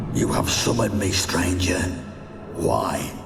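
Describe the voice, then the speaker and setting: With a clear echo and loud background noise, a man speaks fairly slowly in a put-on character voice. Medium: machinima. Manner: cold, menacing.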